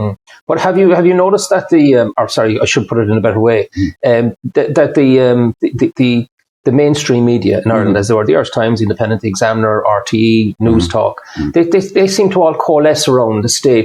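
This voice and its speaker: In a dry, close recording with no echo, a man with a medium pitch talks very fast, his pitch swinging very widely while his loudness stays very even. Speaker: interviewer, financial adviser. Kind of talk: interview question.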